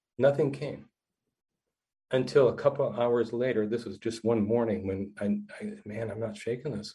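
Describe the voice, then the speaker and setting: The man's voice is somewhat breathy with a dark, mellow tone. He talks at a moderate pace. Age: 60s. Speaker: counselor. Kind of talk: interview storytelling.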